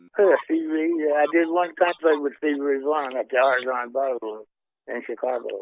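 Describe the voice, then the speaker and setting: With a Southern US accent, this man talks at a fairly quick pace in a fairly high pitch. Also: ordinary pitch variation. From Mississippi. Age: 80s+. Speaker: blues guitarist. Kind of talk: interview answer. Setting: phone line.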